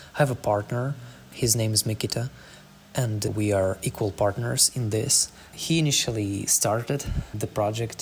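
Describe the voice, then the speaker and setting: Over noticeable background noise, a man with a non-native accent speaks at a fairly low pitch. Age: 20s. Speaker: startup founder. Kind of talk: podcast monologue. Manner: slightly halting.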